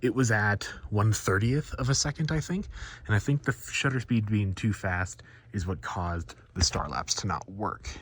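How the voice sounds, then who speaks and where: A man's somewhat breathy, fairly low voice at a moderate pace, with lively intonation. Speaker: vlogger. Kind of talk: casual vlog. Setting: outdoors. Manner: casual.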